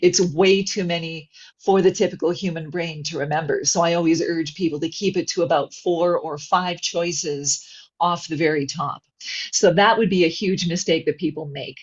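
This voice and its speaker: Somewhat breathy female voice, fairly low in pitch, with fairly even intonation. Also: moderate pace. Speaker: voice actor. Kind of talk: webinar interview answer.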